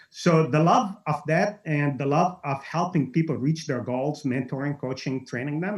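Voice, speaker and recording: Somewhat breathy, a man speaks at a fairly quick pace with a fairly high pitch. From Lebanon. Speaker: network marketing entrepreneur. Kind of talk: webinar testimony. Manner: animated.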